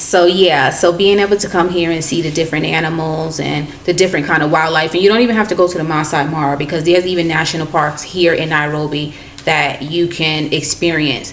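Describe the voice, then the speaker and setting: Over noticeable background noise and audible room echo, a woman with a very deep, low pitch talks at a fairly quick pace with fairly even intonation. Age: 40s. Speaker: travel vlogger. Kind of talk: casual chat.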